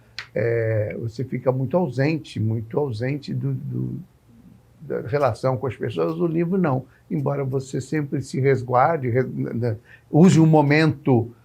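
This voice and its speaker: A man speaks at a medium pitch with ordinary pitch variation, at a fairly slow pace. His tone is dark and mellow, and somewhat breathy. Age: 60s. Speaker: TV interviewer. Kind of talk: interview. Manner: halting.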